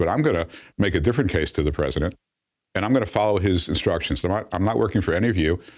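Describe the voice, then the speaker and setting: On a very clean recording with a silent background, a man with a very deep, low pitch talks at a very fast pace with lively intonation. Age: 50s. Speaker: former ambassador. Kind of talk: interview. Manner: halting, many fillers.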